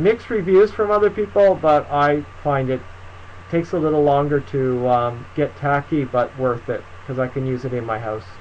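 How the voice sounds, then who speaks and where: A man talks with lively intonation at a moderate pace while light background noise runs underneath. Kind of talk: live stream Q&A tutorial. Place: home room. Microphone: webcam.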